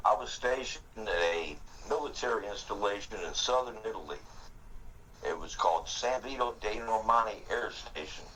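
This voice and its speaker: The room echo is audible around this man's voice. He keeps a moderate pace. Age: 60s. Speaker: Air Force veteran, gaming alliance leader. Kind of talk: interview.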